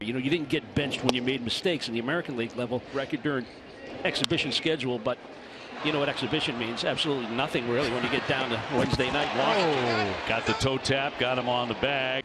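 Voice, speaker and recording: Speaking at a very fast pace in an animated, excited tone, a man with a medium pitch and ordinary pitch variation keeps his loudness very even over noticeable background noise. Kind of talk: live sports commentary. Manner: fast, excited play-by-play delivery; animated, rising on big moments.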